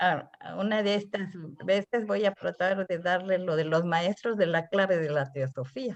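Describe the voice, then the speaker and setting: A woman at a medium pitch, fairly slow in pace, with ordinary pitch variation. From Mexico. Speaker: theosophy lecturer. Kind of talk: lecture. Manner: halting.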